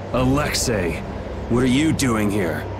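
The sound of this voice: Over loud background noise, a man at medium pitch puts on a cartoonish character voice at a fairly slow pace.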